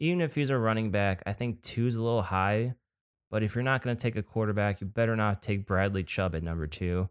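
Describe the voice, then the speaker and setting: Heard in a very clean recording with a silent background and a dry, close sound with no echo, a man with an American accent speaks fairly quickly in a normal speaking voice at fairly low pitch. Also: ordinary pitch variation. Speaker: podcast co-host. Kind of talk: casual chat.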